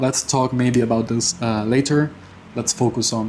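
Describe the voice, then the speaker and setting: The man's pitch is medium, and noticeable background noise runs beneath his speech. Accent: non-native. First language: not English. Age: 20s. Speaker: personal finance vlogger. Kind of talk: casual monthly finance update vlog. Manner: halting, with many fillers and repetitions.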